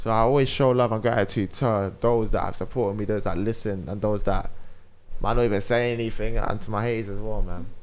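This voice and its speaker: With a London accent, a man talks at a fairly quick pace in a fairly low pitch, his intonation fairly even and room echo audible. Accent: urban London speech. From South London. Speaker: radio presenter and podcast host. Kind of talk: casual chat.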